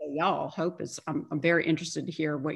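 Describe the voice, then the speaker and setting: In a very clean recording with a silent background, a woman speaks at a moderate pace in an ordinary speaking voice, her pitch fairly low. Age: 40s. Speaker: yoga instructor and life coach. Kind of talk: casual interview chat.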